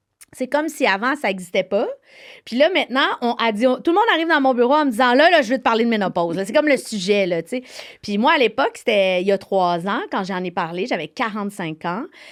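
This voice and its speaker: This woman's voice sits at a fairly high pitch and swings very widely up and down. She talks at a very fast pace. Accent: Quebec. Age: 40s. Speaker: TV host, author and actress. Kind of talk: interview. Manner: halting.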